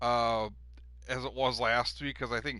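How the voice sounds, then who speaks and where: Music plays in the background as a man with a Wisconsin accent speaks at a moderate pace. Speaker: gaming league commissioner and streamer. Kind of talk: casual commentary show. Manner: casual, many filler words.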